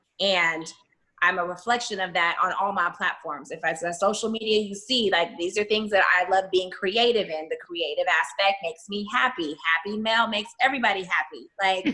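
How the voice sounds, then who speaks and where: With an ordinary speaking voice, a woman talks at a moderate pace and medium pitch, with ordinary pitch variation. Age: 30s. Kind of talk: casual chat.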